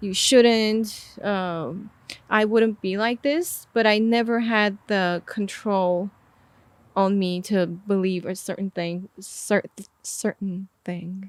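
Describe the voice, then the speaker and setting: A woman speaks very slowly with a non-native accent and fairly even intonation, in a very clean, dry, close recording with no echo and a silent background. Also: medium pitch for a woman. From Armenia. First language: not English. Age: 20s. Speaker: artist and music video director. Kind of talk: podcast interview.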